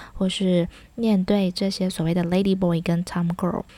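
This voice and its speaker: The woman's voice is somewhat breathy. The recording is very clean, with a silent background. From Taiwan. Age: 30s. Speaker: podcast host, former teacher in Thailand. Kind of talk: casual monologue.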